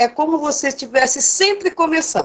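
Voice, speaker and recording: This is a woman talking. Her pace is moderate. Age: 60s. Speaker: writer. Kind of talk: panel discussion. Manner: halting.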